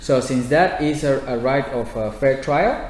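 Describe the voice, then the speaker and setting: The speaker talks at a fairly slow pace in a Spanish accent, with fairly even intonation and audible room echo. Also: man. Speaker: housing activist. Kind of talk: audience Q&A at a public talk. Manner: halting.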